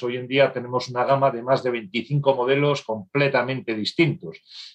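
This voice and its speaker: A plain, everyday voice at a moderate pace. The intonation stays fairly even. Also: man. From northern Spain. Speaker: business executive. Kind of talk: interview.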